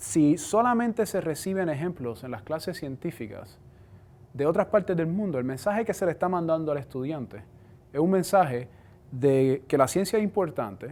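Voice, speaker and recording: A man's fairly high, dark and mellow voice in a Puerto Rican accent, at a moderate pace, on a very clean recording with a silent background. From Puerto Rico. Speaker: cell biology professor. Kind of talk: science outreach talk.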